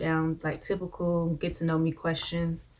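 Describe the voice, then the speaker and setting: At a fairly slow pace, a woman speaks in a fairly low pitch. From New Jersey. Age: 20s. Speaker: YouTuber, college student. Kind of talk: casual Q&A vlog. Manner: laid back.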